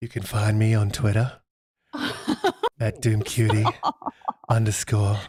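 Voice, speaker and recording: In a put-on character voice, a man talks breathily at a fairly low pitch and a moderate pace, with monotone, flat intonation and long, frequent pauses. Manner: mocking.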